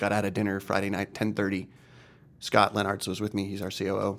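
A man's fairly low voice, flat and monotone, at a very fast pace. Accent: American. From Long Island, New York. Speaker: karaoke business founder. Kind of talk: casual interview chat.

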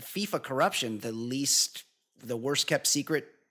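The man has an ordinary speaking voice at a fairly high pitch. His pace is fairly slow. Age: 40s. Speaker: podcast host. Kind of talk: casual chat.

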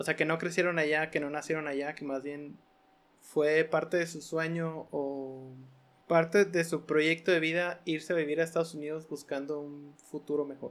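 With a Mexican accent, a man speaks at a moderate pace in a fairly high, monotone, flat voice. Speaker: podcast host. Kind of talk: casual chat.

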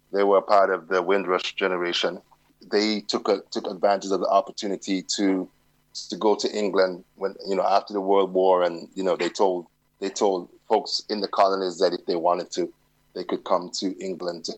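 Very deep and low, a man's voice holds a monotone, flat intonation at a moderate pace. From London, then Jamaica. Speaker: journalist. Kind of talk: interview. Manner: halting, with frequent repetitions.

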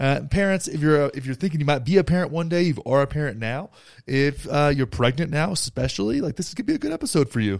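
The recording is very clean, with a silent background. A man talks very fast with lively intonation. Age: 30s. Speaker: podcast host. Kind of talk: casual chat.

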